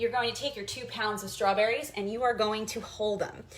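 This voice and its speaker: Over noticeable background noise, a woman with an American accent talks at a fairly high pitch. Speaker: history teacher hosting a cooking show. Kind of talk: cooking tutorial with history lesson. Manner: fast; hesitant, many fillers.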